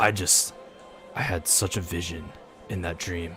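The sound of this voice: A man's put-on character voice, whispering at a fairly slow pace over clear background noise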